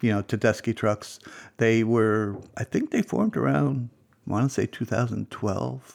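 An unremarkable speaking voice, a man with fairly low pitch and lively intonation at a moderate pace, dry and close with no echo, on a very clean recording with a silent background. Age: 60s. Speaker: music enthusiast guest. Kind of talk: casual chat.

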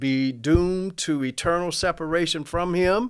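On a very clean recording with a silent background, a man speaks with an Alabama accent. His pitch is fairly high with ordinary variation, and his pace is fairly slow. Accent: Southern US (Alabama). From US South, Mobile, Alabama. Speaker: church member. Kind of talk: testimony.

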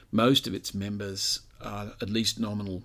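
Over a very clean recording with a silent background, a man speaks with an Australian accent at a fairly low pitch. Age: 60s. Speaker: author and commentator on religion. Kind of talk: interview.

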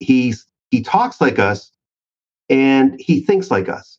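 Lively in intonation, a man with an ordinary speaking voice and a Canadian accent talks at medium pitch. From Canada. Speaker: sales author and trainer. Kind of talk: casual interview chat.

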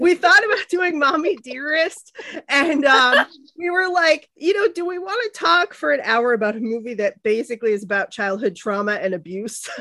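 Raising and projecting her voice, a woman speaks at a moderate pace in a high pitch, with a bright, sharp tone and very wide pitch swings. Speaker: podcast host. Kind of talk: casual chat.

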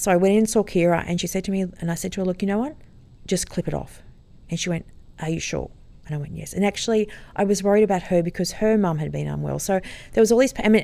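This voice has an Australian accent and a dark, mellow tone. It moves at a very fast pace with ordinary pitch variation. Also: woman. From Sydney, Australia (Sutherland Shire). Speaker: kindergarten teacher and camel farmer. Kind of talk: casual interview.

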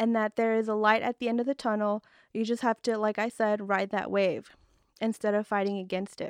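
A woman talks at a moderate pace, her pitch fairly high, in an ordinary speaking voice. The sound is dry and close with no echo, against a quiet background. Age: young. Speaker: esthetician and podcast host. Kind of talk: casual solo talk. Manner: chatty, many fillers.

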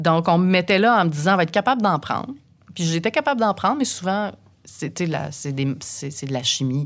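Her pitch is fairly low, swinging very widely, as a woman speaks at a fairly quick pace. The recording is very clean, with a silent background. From Quebec, Saint-Eustache. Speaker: radio host. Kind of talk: casual interview.

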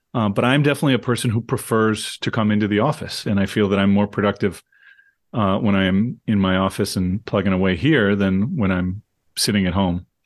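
An unremarkable speaking voice at a fairly quick pace, with ordinary pitch variation, very even loudness and a quiet background. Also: man, fairly low pitch for a man. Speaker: professor. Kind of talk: casual chat.

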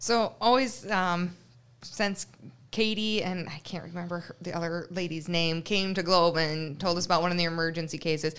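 A woman's fairly low-pitched voice at a moderate pace, with fairly even intonation, an ordinary speaking voice, in a very clean recording with a silent background. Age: 20s. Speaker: veterinary technician. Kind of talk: casual interview. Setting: studio.

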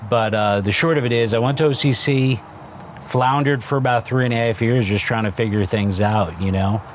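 A man with a New Jersey accent talks at a moderate pace and a medium pitch, with ordinary pitch variation. His loudness stays very even over noticeable background noise. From New Jersey (Newark). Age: 50s. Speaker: restaurant chain co-founder. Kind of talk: casual interview. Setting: studio.

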